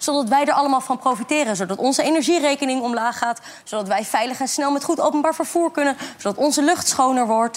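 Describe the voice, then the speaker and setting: Over noticeable background noise, a woman talks at a very fast pace in a high voice with ordinary pitch variation. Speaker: climate activist. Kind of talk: talk show interview. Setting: studio with audience.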